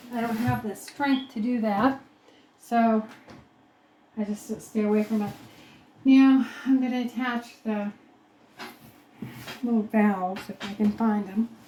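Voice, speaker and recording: Over noticeable background noise, a woman with a fairly high pitch speaks with long, frequent pauses. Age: 60s. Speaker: homesteader doing DIY cabin remodel. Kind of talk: DIY vlog narration while working. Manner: casual, halting.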